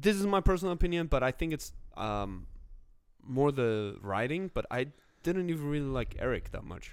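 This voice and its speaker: At a moderate pace, a man speaks in a fairly high pitch. His pitch swings very widely. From Korea. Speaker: stand-up comedian. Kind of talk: casual chat.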